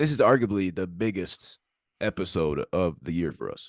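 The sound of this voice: The voice moves in big pitch swings, captured in a very clean recording with a silent background. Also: man, low pitch for a man, moderate pace.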